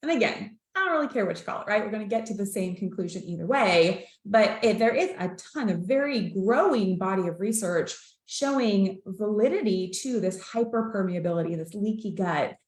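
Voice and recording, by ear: With audible room echo, a woman at medium pitch talks at a moderate pace using lively intonation.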